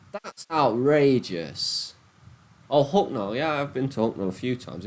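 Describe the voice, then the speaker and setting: The speaker has a strong Nottingham accent, lively intonation and big swings in loudness. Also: man. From England, Nottingham. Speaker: gambling livestreamer. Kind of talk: casual livestream chat. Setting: live stream on laptop. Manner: animated.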